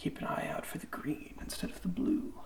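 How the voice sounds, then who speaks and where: Soft-spoken and relaxed in tone, the speaker talks at a fairly quick pace against noticeable background noise. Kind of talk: ASMR unboxing, rambly casual talk. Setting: lo-fi ASMR microphone recording. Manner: soft-spoken, relaxed, rambling.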